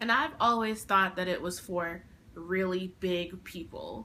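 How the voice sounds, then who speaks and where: With a bright, sharp tone and ordinary pitch variation, a woman speaks at a fairly slow pace. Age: 20s. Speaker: vlogger. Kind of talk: casual vlog talk.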